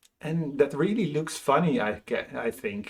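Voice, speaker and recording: A man talks with a Dutch accent at a fairly high pitch. His pitch swings very widely. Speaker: motivational speaker. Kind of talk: casual vlog monologue. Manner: halting.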